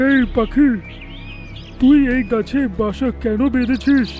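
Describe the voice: Over clear music in the background, a cartoonish character voice speaks in a fairly high pitch at a fairly slow pace.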